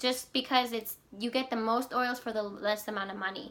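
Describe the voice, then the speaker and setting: In a bright, sharp tone, a woman talks at a moderate pace. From Ecuador. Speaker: essential oils seller, social worker. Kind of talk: product demonstration vlog. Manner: casual, hesitant with fillers.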